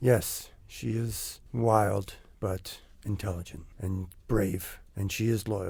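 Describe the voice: A plain reading aloud with fairly even intonation.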